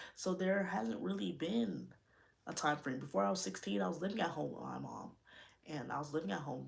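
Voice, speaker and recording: An animated woman's voice with vocal fry, a fairly quick pace and very wide pitch swings. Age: 20s. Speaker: YouTuber, podcast host. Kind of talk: livestream chat.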